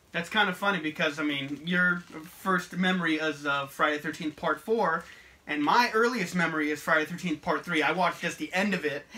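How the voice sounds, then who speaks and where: A fairly high-pitched man at a fairly quick pace, ordinary pitch variation, and noticeable background noise. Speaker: horror YouTuber. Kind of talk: casual chat. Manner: stuttering at times.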